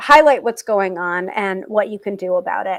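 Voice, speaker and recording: A woman has a normal speaking voice at medium pitch with ordinary pitch variation. The recording is very clean, with a silent background. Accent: American. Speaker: tarot reader and livestream host. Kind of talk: casual livestream chat.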